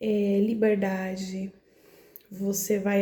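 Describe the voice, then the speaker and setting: Soft-spoken, a woman talks with a Brazilian accent over noticeable background noise. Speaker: spiritual content creator. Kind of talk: casual monologue about spirituality.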